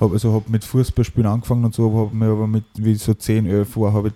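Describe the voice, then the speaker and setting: A man speaks very fast in a dark, mellow tone with monotone, flat intonation. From Upper Austria, Innviertel (Ried im Innkreis). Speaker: mixed martial arts fighter. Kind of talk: casual interview. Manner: halting, many fillers.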